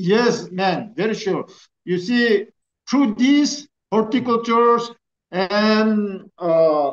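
This man has a high pitch. His pitch varies in an ordinary way. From Nagaland, India. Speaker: farmer community speaker; speaker. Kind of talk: presentation. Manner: halting. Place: home room. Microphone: video call.

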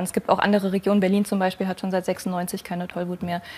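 A woman talks at a fairly quick pace. Her intonation is monotone and flat. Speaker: wildlife biologist; talk show guest. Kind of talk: TV talk show. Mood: relaxed, friendly. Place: studio.

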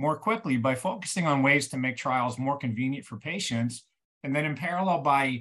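A man speaking at a fairly quick pace against a quiet background. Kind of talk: webinar presentation. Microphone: webcam.

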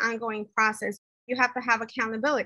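A woman talks at a fairly quick pace in a high, bright, sharp voice. The sound is dry with no echo against a quiet background. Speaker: professional association president. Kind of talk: interview. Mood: earnest, engaged. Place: home room. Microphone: video call.

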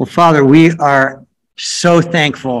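The man talks at a very slow pace. His intonation stays fairly even. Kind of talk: prayer. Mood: earnest, warm. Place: home room. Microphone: video call.

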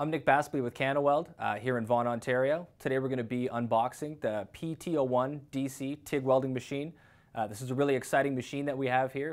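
The speaker is a man. He goes at a fairly quick pace. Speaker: technical sales representative. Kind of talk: product demo tutorial. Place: workshop.

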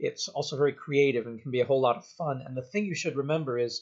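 The background stays quiet while a man talks. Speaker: university lecturer. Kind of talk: lecture to students. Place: home room. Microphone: webcam.

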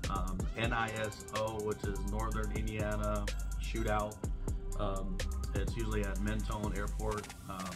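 A man's voice over loud music in the background. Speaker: channel host. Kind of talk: casual vlog chat. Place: garage. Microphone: phone near.

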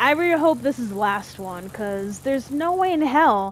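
Speaking at a moderate pace, a woman carries an animated tone. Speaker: gaming youtuber. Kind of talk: gameplay commentary, angry ranting. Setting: home recording, solo playing video game. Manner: animated, loud, cursing and frustrated; excitable, exasperated.

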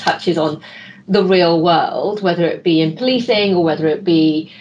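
Light background noise sits behind a woman's fairly low voice. She speaks at a fairly quick pace. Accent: British. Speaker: expert giving closing remarks; panel discussant. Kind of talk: closing remarks. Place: home room. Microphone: video call.

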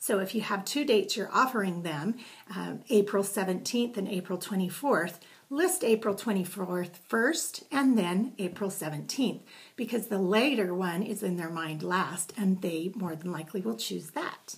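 A woman speaks in a somewhat breathy voice with lively intonation. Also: moderate pace. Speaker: direct sales consultant. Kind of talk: tutorial. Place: home room. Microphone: webcam.

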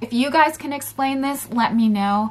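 Ordinary pitch variation from a woman speaking at a moderate pace. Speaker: vlogger. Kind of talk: casual storytelling vlog. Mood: puzzled, animated. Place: home room.

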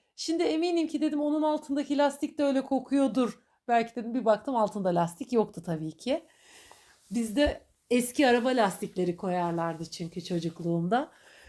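The voice has a dark, mellow tone with very wide pitch swings at a moderate pace. The recording is very clean, with a silent background. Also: woman, high pitch for a woman. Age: 40s. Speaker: podcaster. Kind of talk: personal monologue. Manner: warm, reflective.

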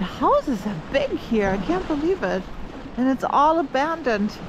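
A woman talks at a fairly slow pace in a high voice with big pitch swings. Clear background noise sits behind her.

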